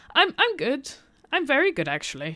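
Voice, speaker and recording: A woman with a bright, sharp tone swings her pitch very widely on a very clean recording with a silent background. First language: not English. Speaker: game streamer. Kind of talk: live gameplay stream. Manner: casual, hesitant with fillers.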